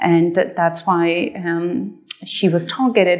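This is a woman talking. She has an American accent. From Afghanistan, Kabul. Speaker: poet and literature scholar. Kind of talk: panel discussion.

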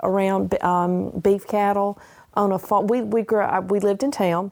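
A woman speaks at a medium pitch in a Southern US accent. Her tone is dark and mellow. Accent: Southern US (Georgia). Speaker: retiree, farmer's wife. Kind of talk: interview.

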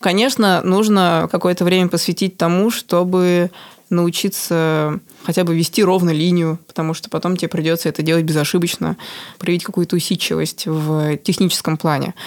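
A woman with a normal speaking voice talks at a moderate pace, her fairly low pitch held in fairly even intonation. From Moscow, Russia. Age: 20s. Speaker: tattoo artist. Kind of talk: interview.

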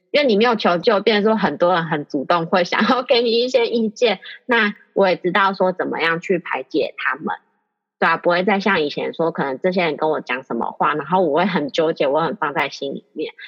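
A woman's medium-pitched voice at a fairly quick pace, with lively intonation. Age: 30s. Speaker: aromatherapist, course graduate. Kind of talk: interview testimony. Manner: halting, many fillers.

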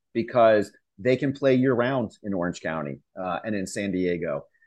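A plain, everyday voice with an American accent at a moderate pace, over a quiet background. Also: man. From Pennsylvania (York). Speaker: soccer club executive. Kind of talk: interview.

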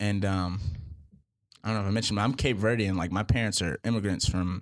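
A man with an American accent has an unremarkable speaking voice, fairly low in pitch with ordinary pitch variation. The recording is very clean and the background silent. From Boston and Charlotte, North Carolina. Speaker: university student and rapper. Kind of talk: casual interview.

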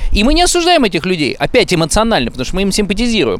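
A man with a high pitch for a man, over noticeable background noise. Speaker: friend of the hosts. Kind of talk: heated debate. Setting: outdoors.

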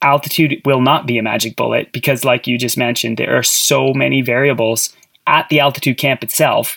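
With a Canadian accent, the speaker talks at a fairly quick pace with fairly even intonation and vocal fry. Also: man. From Canada. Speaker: podcast co-host, former cross-country skier. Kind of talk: casual interview chat.

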